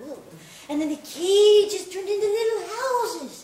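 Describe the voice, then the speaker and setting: A woman does a put-on character voice at an extremely high pitch with lively intonation. She keeps a moderate pace, and there is slight echo. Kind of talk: 1950s melodrama acting. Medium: audio drama.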